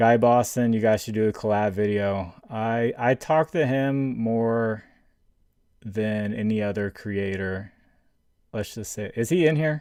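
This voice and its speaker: Against a quiet background, a man speaks at a fairly slow pace with a medium pitch. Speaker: sports betting streamer. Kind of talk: live stream chat. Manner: monotone; halting, many fillers and repeats.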